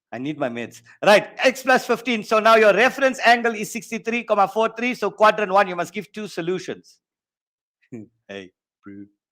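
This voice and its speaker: A man with a South African accent speaks at a moderate pace in a high pitch, his tone bright and sharp and his loudness swinging a lot. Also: ordinary pitch variation. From South Africa, East Rand (Benoni). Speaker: maths teacher. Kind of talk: online exam-prep lesson. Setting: online workshop. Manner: animated.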